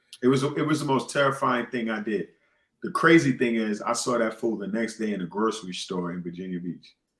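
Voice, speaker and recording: A man talks with a New York accent. His intonation is lively. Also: medium pitch for a man, fairly quick pace. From New York City. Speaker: podcast host. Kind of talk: casual chat.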